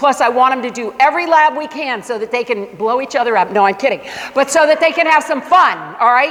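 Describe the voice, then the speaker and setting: A woman speaks at a fairly quick pace in a high pitch and an animated tone, with ordinary pitch variation. Noticeable background noise is present. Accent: American. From Michigan. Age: 60s. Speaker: science teacher. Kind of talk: parent information presentation.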